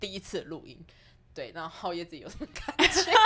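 This woman's intonation is lively. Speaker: co-producer, exhibition organiser and publisher. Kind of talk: casual chat. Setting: small office. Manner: serious.

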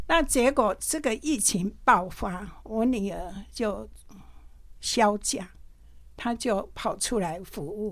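A woman's medium-pitched voice with lively intonation, a very slow pace, vocal fry, and a very clean recording over a silent background. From Taiwan, Pingtung. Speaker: retired nurse supervisor, volunteer. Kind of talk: testimony. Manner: halting.

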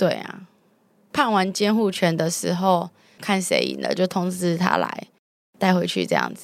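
A woman speaks at a fairly slow pace. She takes long, frequent pauses. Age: 20s. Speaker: telecom customer service worker. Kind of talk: interview testimony.

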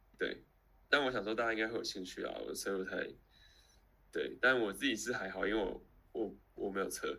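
A man talks at a fairly quick pace but stops for long pauses again and again. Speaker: podcast co-host. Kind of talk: casual chat. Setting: live stream over call.

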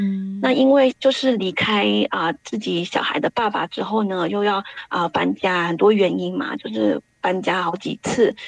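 A woman's medium-pitched voice, dry and close with no echo, with music in the background. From Taiwan. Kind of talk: testimony.

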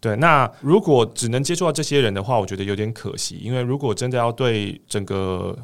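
On a very clean recording with a silent background, a man in a normal speaking voice talks at medium pitch and a fairly quick pace with lively intonation. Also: hardly any pauses. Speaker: voice coach and podcast host. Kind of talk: casual interview chat.

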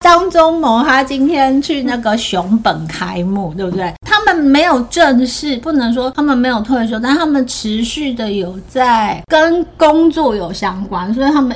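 Her pitch high and swinging very widely, a woman talks at a fairly slow pace with hardly any pauses amid noticeable background noise. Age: 40s. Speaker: podcast host. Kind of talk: casual chat.

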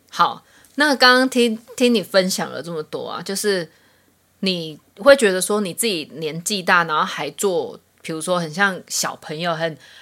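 A bright, sharp voice with lively intonation, delivered at a moderate pace. The recording is very clean, with a silent background. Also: woman. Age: 30s. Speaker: podcast co-host. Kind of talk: casual chat.

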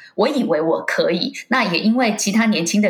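With noticeable background noise, a woman speaks at a moderate pace in a fairly high pitch and lively intonation. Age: 40s. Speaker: wakesurf athlete and businesswoman. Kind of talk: interview.

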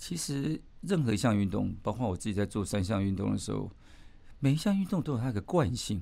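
With a dark, mellow tone at a medium pitch, a man talks at a fairly quick pace using very wide pitch swings. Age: 60s. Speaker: management professor and amateur ultramarathon runner. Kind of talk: casual interview.

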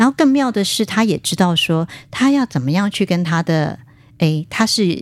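Delivery comes at a moderate speed. Pitch leaps across a very wide range. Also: woman, medium pitch for a woman. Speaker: spiritual writer and qigong teacher. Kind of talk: casual interview. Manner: frequent fillers and hesitations.

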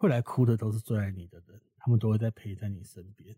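A man's somewhat breathy, dark, mellow tone at a fairly low pitch, in a dry, close sound with no echo on a very clean recording with a silent background. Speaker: funeral worker and author. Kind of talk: interview conversation.

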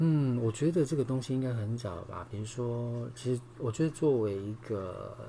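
A man with a Taiwanese accent at a moderate pace, with ordinary pitch variation and noticeable background noise. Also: medium pitch for a man, hardly any pauses. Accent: Taiwanese Mandarin. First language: Taiwanese Hokkien (speaking Chinese). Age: 50s. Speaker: yoga teacher and singer. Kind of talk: casual interview.

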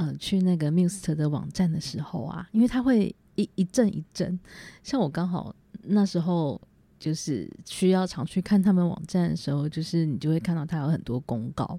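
A woman speaks with a Taiwanese accent in a dark, mellow tone. Her moderately paced delivery has lively intonation, captured in a very clean recording with a silent background. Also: fairly low pitch for a woman. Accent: Taiwanese Mandarin. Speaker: podcaster. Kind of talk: solo casual monologue. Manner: halting with many fillers.

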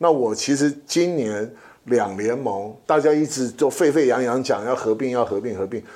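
A man with a medium pitch speaks in a dark, mellow tone with ordinary pitch variation. The recording is very clean, with a silent background. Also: moderate pace. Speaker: podcast co-host, sports league executive. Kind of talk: casual chat.

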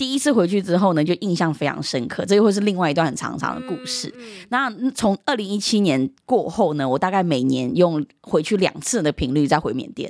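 A loud woman speaks at a fairly quick pace with hardly any pauses. Her medium pitch makes very wide swings, and her tone is animated. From Myanmar (Chinese diaspora family), moved to Taiwan at age 10. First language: Yunnanese dialect (speaking Chinese). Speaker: guest, cultural content creator. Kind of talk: casual chat. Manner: laughs loudly and often.

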